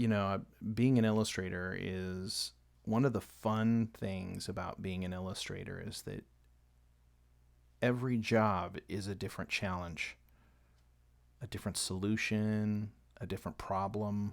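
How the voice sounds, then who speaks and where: Mumbled speech at a fairly slow pace, with long, frequent pauses, fairly even intonation and a very clean recording over a silent background. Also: man, fairly low pitch for a man. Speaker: illustrator live-streaming painting. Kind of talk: live painting stream commentary. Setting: home studio, late at night. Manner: quiet, kept down to not wake family; mumbling a little.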